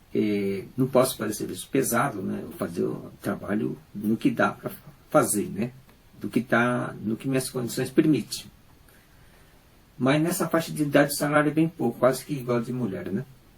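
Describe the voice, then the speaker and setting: With lively intonation and some vocal fry, a man talks at a moderate pace and a medium pitch. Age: 60s. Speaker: unemployed factory worker with cancer. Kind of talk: personal testimony. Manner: halting.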